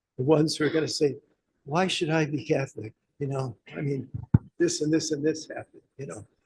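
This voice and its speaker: He speaks fairly quickly with an American accent and a somewhat breathy sound. The man's pitch is fairly high, and his intonation is fairly even. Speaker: professor. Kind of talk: seminar Q&A answer.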